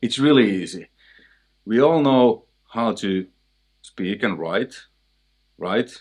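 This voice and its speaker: Against a quiet background, a man with a Finnish accent and a medium pitch speaks at a very slow pace with lively intonation and long, frequent pauses. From Finland. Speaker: guitarist and music teacher. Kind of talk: tutorial. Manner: casual, halting.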